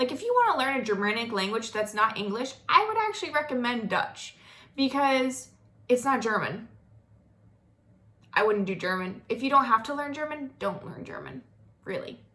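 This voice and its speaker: Using lively intonation and long, frequent pauses, a woman with a high pitch speaks in an American accent. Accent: slight Southern US drawl at times. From US South, North Florida. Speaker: vlogger. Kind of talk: casual monologue.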